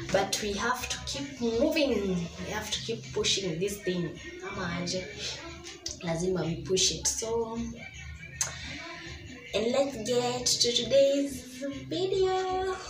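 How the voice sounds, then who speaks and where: Over clear background music, a woman speaks at a very slow pace with long, frequent pauses. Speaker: vlogger. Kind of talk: casual vlog chat. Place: kitchen. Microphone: phone near.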